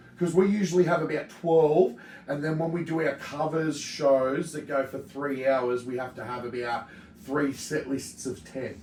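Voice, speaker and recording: A man with an Australian accent talks at a moderate pace in a fairly high pitch. His pitch varies in an ordinary way, and there is noticeable background noise. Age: 30s. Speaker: metal podcast host. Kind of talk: casual chat. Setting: studio.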